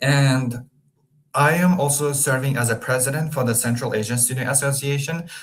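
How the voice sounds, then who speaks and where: Audible room echo surrounds a man whose fairly high, somewhat breathy voice moves at a moderate pace with fairly even intonation. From Turkmenistan. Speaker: international student. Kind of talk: webinar presentation. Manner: hesitant, with fillers.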